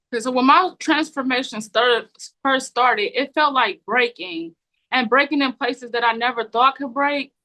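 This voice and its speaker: Projecting a raised voice, a woman with a high pitch and a bright, sharp tone speaks at a moderate pace with ordinary pitch variation. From Cleveland, USA. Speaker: author, poet, chemical dependency counselor, trafficking survivor. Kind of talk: interview answer, personal testimony.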